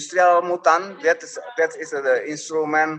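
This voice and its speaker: A man with a strong Indonesian accent speaks at a fairly slow pace. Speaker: instrument maker and musician. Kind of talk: interview, conversational. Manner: halting, searching for English words.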